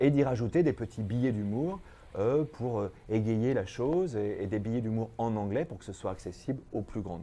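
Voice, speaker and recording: Lively in intonation, a man with a medium pitch and a dark, mellow tone speaks at a moderate pace. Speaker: actor and singer. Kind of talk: interview. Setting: studio. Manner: halting.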